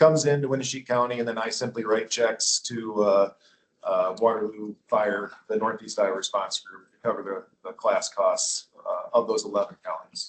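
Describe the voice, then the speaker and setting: Fairly even intonation in a man's voice of medium pitch. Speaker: county emergency management coordinator. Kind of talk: budget presentation at public meeting. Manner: fast.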